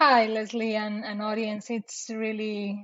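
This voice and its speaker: A woman's medium-pitched voice holds a monotone, flat intonation. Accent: Mexican. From Mexico City, Mexico. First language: Spanish. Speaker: marketing operations director. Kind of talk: casual interview. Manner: halting with repetitions.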